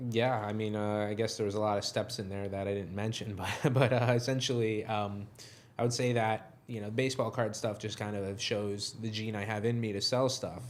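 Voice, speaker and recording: A fairly low-pitched man with a New York accent, fairly quick and monotone, flat in intonation, in a room with audible echo. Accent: New York American. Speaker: software company co-founder. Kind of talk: interview conversation. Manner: low energy.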